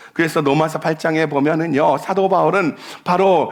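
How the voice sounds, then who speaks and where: Noticeable background noise surrounds the man as his pitch varies in an ordinary way. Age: 70s. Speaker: pastor. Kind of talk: sermon. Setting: church.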